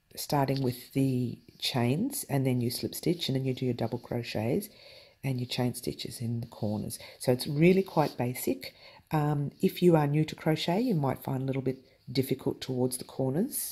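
A dark, mellow tone marks this voice, moving at a moderate pace. Its pitch variation is ordinary. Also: woman, very deep, low pitch for a woman. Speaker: crochet tutorial host. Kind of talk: tutorial. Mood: cheerful, playful.

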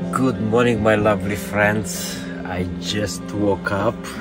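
A man talks with loud music in the background. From Hungary. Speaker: vlogger. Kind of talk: casual vlog talk to camera. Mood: cheerful, relaxed. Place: home room. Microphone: phone near.

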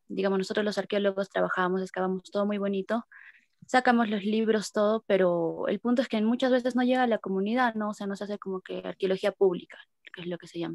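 Delivery is fairly quick, with fairly even intonation. The background is quiet and the sound is dry with no echo. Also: woman. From Peru. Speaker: archaeologist and feminist activist. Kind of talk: participant introduction. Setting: video call. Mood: reflective, somewhat hesitant. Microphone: video call.

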